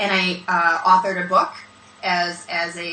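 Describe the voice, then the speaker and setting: In a room with audible echo and noticeable background noise, a woman speaks at a moderate pace in a fairly low pitch. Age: 40s. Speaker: business speaker and brand consultant. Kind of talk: interview.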